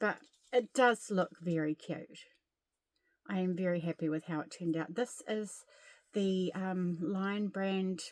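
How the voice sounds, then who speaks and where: With a New Zealand accent, a woman reads at a fairly slow pace, with ordinary pitch variation and long, frequent pauses. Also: medium pitch for a woman. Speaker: crochet vlogger. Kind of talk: casual chat. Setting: at home. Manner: soft-spoken.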